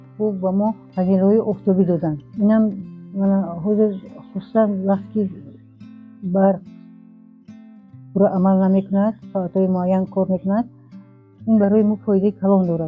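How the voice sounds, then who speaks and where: With music in the background, a woman speaks in a monotone, flat intonation at very even loudness. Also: medium pitch for a woman. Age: 70s. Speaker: farmer. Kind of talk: interview. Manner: halting.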